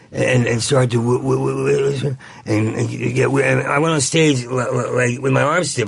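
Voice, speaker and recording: A man speaks as noticeable background noise continues underneath. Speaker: comedian. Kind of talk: casual chat. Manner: fast.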